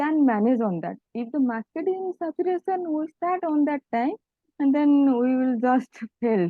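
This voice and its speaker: In an Odia accent, the speaker talks at a moderate pace with ordinary pitch variation. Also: woman. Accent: Odia-accented Indian English. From village in Odisha, India. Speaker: EV startup founder, engineer. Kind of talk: interview answer. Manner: calm.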